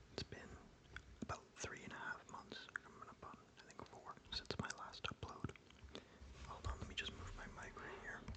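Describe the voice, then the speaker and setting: Over noticeable background noise, whispering comes with long, frequent pauses. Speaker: ASMR creator. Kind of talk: casual ASMR talk to camera. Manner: soft-spoken.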